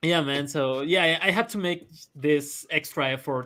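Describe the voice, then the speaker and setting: Bright and sharp in tone, a man speaks at a moderate pace with a Spanish accent. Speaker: comic artist. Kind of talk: interview. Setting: live stream. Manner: halting.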